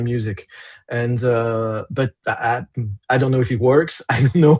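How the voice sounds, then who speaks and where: A man with a French accent speaks at a medium pitch and a fairly slow pace with fairly even intonation, in a dry, close sound with no echo and a quiet background. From France. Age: 40s. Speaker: metal musician. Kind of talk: interview. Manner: halting.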